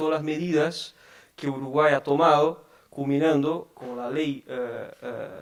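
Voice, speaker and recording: Noticeable background noise sits behind a man with a Portuguese accent. He speaks fairly slowly at a fairly high pitch, with monotone, flat intonation. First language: Portuguese (speaking Spanish). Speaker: tax advisor. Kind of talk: conference talk. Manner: halting, many fillers.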